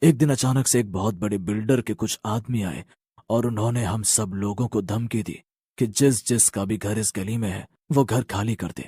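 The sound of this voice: A man's cartoonish character voice at medium pitch and a fairly quick pace.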